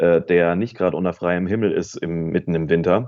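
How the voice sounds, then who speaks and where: A man speaks with a very deep, low pitch. His intonation is fairly even. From Central Hesse, Germany. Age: 30s. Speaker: radio worker and comedian. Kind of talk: casual interview chat. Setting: phone call. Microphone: phone mic.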